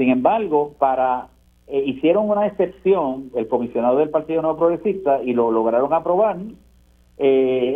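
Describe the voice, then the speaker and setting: An ordinary speaking voice, this man's fairly high pitch carries lively intonation. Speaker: senator. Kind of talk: radio interview.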